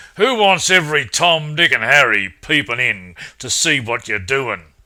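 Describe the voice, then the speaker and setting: In a put-on character voice, a man speaks at a fairly high pitch and moderate pace with very wide pitch swings. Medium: read story. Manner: gloating, sly.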